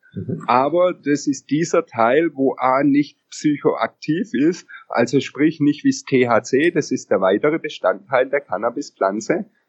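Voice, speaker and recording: Very slowly yet with hardly any pauses, a man speaks at a fairly high pitch with lively intonation. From Upper Bavaria, Germany. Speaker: CBD product entrepreneur. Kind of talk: interview. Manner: hesitant, many filler sounds.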